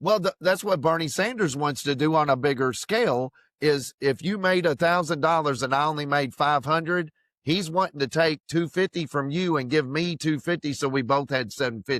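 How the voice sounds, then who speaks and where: In a Kentucky accent, a man talks at a moderate pace and fairly high pitch, with ordinary pitch variation and very even loudness, in a dry, close sound with no echo. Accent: Kentucky Southern US. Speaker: podcast co-host, Marine veteran. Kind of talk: casual chat.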